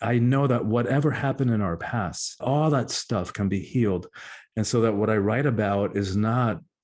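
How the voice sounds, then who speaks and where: This man has a fairly low voice and talks at a moderate pace with ordinary pitch variation. Behind him the background stays quiet. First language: Spanish. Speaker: author and public speaker. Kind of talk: interview. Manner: halting.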